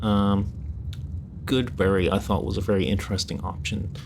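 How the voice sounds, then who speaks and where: Quietly whispering, a man talks at a fairly quick pace. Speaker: streamer. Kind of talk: casual livestream talk about tabletop games. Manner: hushed, whispery.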